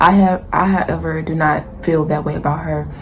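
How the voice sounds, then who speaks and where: A woman with a fairly low voice talks while noticeable background noise and audible room echo fill the recording. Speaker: YouTuber, TV show commentator. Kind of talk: casual opinion vlog. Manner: fast; animated.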